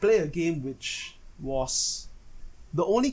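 The man's voice is somewhat breathy. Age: 20s. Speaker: podcaster and card game player. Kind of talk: solo monologue. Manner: casual, self-correcting.

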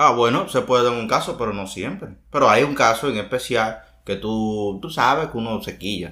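With a bright, sharp tone, a man speaks at a moderate pace and medium pitch, showing ordinary pitch variation. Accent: Dominican. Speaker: podcast co-host. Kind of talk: casual chat.

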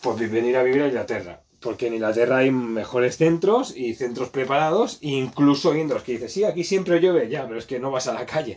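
At a fairly quick pace with hardly any pauses, a man talks at a medium pitch with ordinary pitch variation. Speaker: podcast host and physiotherapist. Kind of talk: casual interview chat.

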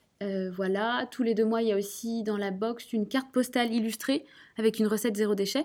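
An unremarkable speaking voice from a woman, fairly high in pitch, at a fairly quick pace. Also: fairly even intonation. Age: 20s. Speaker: entrepreneur. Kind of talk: interview.

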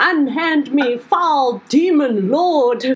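A woman's high-pitched, put-on character voice. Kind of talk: posh. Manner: indignant.

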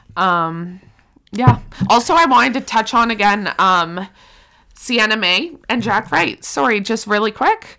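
Loud and bright with a sharp tone, a woman speaks at a fairly high pitch with lively intonation on a very clean recording with a silent background. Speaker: podcast co-host. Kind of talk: casual chat.

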